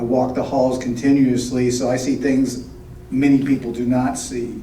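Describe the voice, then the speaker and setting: A man at medium pitch and a moderate pace, with audible room echo and noticeable background noise. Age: 60s. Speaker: board candidate. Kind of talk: prepared candidate speech.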